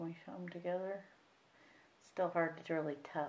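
The speaker has an American accent and talks at a moderate pace with fairly even intonation. Light background noise is present. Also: woman. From US Midwest. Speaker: reborn doll artist, video creator. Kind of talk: painting tutorial. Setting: home craft table, camera. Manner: casual, halting with fillers. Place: home room. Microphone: camera far.

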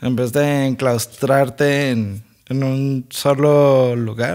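With a Mexican accent and ordinary pitch variation, a man speaks against a quiet background. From Mexico. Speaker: podcast co-host. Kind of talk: casual chat. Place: home room. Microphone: studio mic.

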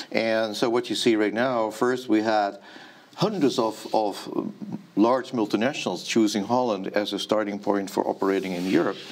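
With a Dutch accent, this speaker talks at a moderate pace with fairly even intonation. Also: man, medium pitch for a man. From Netherlands. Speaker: startup ecosystem representative. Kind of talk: interview. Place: studio.

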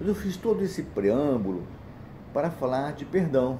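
A man speaks at a fairly slow pace with very wide pitch swings. His voice is somewhat breathy, with light background noise behind it. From Brazil, small interior town. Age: 60s. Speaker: church deacon giving a talk. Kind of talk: personal testimony talk. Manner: halting, with repetitions. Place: home room. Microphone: phone near.

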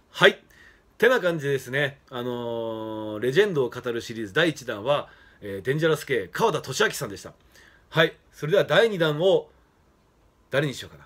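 A man speaks at a moderate pace, his pitch swinging very widely. His loudness rises and falls sharply. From Japan, Fukushima; Japan. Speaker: professional wrestler. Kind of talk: casual monologue. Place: home room. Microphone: phone near.

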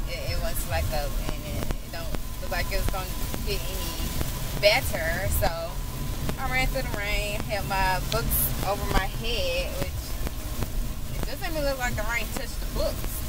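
Music plays in the background while the speech moves at a fairly slow pace. The sound is dry with no echo. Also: woman. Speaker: vlogger. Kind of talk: casual vlog chat. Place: car. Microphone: phone near.

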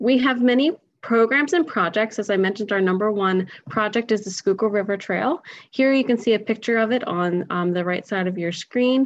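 A woman's fairly high-pitched, normal speaking voice, with ordinary pitch variation, a fairly quick pace and a quiet background. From Philadelphia, Pennsylvania; Pennsylvania. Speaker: environmental education director; presenter. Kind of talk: webinar presentation. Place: home room. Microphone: webcam.

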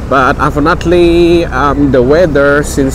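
Noticeable background noise is present, while the sound itself is dry with no echo. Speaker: tour guide. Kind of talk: casual vlog commentary. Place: street.

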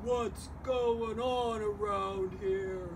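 A put-on character voice over loud background noise

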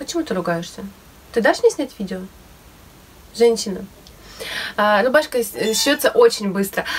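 A woman's high-pitched voice at a moderate pace, with lively intonation. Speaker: DIY sewing vlogger; DIY fashion vlogger. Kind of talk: casual tutorial vlog; casual tutorial vlog chat. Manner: hesitant with fillers. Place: home room. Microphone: phone near.

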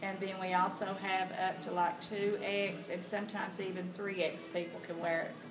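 A woman speaks at a fairly slow pace. Background noise is noticeable. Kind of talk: interview answer. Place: shop. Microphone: camera far.

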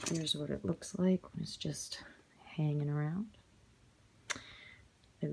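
Somewhat breathy and dark, mellow in tone, a woman speaks with a very deep, low pitch over light background noise. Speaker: handbag reseller. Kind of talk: casual product show-and-tell vlog. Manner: whispered. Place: home room. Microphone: phone near.

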